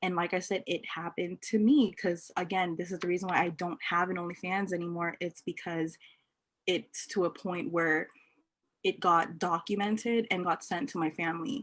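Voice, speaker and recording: In an unremarkable speaking voice, a woman talks at a moderate pace with a fairly low pitch. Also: ordinary pitch variation. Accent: American. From Los Angeles. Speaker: entrepreneur. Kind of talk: casual chat.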